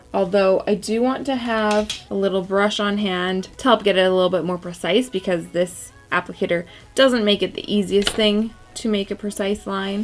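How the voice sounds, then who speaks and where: A woman's medium-pitched voice with ordinary pitch variation, with music in the background. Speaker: beauty YouTuber. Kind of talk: tutorial.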